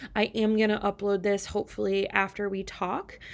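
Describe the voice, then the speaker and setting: The very clean recording, with a silent background, captures a woman speaking. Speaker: high school chemistry teacher. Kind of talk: recorded lecture. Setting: recording at home on a computer. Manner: fast.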